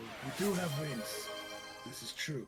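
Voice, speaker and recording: Using a put-on character voice at a fairly high pitch, a man talks at a moderate pace while faint music plays in the background. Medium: actual play. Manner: halting, simple broken phrasing.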